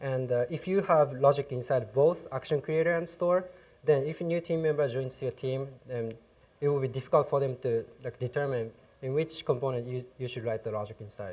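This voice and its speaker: The speaker has a Japanese accent and moves at a fairly quick pace. The voice is somewhat breathy. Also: man, medium pitch for a man, ordinary pitch variation. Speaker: software developer, conference speaker. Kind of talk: technical conference talk. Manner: hesitant, many fillers.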